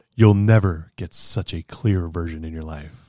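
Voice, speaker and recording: A man's put-on character voice, very deep and low in pitch, with ordinary pitch variation and a moderate pace, on a very clean recording with a silent background. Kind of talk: smooth commercial spokesperson voice.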